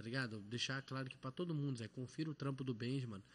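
A man rattles along very fast at a medium pitch, his pitch varying in an ordinary way. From Belo Horizonte, Morro das Pedras, Brazil. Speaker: rapper. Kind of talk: casual chat.

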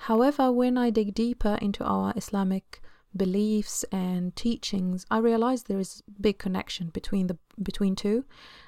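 A woman's medium-pitched voice with an Arabic accent, a dark, mellow tone and fairly even intonation, dry and close with no echo. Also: moderate pace. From Egypt. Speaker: home-educating mother and podcaster. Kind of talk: solo podcast monologue.

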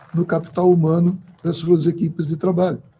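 The tone of this man's voice is dark and mellow. He talks with a high pitch. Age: 50s. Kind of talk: interview.

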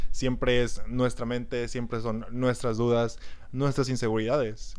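A man's plain, everyday voice at a medium pitch, fairly slow in pace, with fairly even intonation. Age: 20s. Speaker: podcast host. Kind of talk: casual chat.

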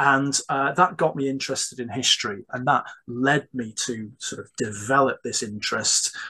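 Medium in pitch, a man's voice has a bright, sharp tone with a slightly husky edge. His pace is moderate and his pitch variation ordinary.

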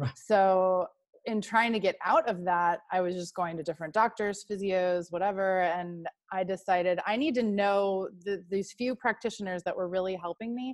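A woman with an American accent has an unremarkable speaking voice at medium pitch. She talks at a moderate pace with ordinary pitch variation. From Texas. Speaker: marketing strategist and yoga teacher. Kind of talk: interview.

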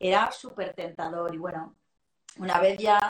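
A woman has an ordinary speaking voice at a medium pitch. She keeps a moderate pace and fairly even intonation. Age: 40s. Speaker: sales and emotional intelligence trainer. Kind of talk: casual interview.

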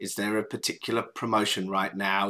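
In a very clean recording with a silent background, a man with an English accent speaks at a moderate pace in a bright, sharp tone. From England. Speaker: startup founder and CEO. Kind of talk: interview.

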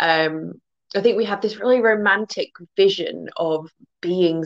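The recording is dry and close, with no echo. A woman talks with fairly even intonation. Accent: English. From England, near the Welsh border. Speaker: guest, folklore and fairy lore speaker. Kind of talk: casual chat.

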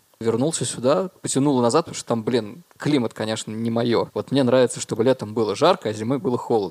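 A man talks at a fairly quick pace in a medium pitch, with an unremarkable speaking voice. The sound is dry and close, with no echo. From Russia, Murmansk and Dimitrovgrad. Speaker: musician and concert organizer. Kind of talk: casual chat.

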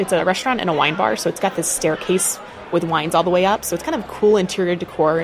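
Over noticeable background noise, a woman talks at a very fast pace. Her pitch is fairly low, with ordinary variation. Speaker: person with type 1 diabetes. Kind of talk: interview recording.

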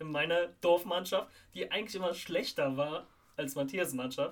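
Noticeable background noise accompanies a man speaking at a high pitch, fairly quickly, with lively intonation. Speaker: football podcast host. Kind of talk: casual chat.

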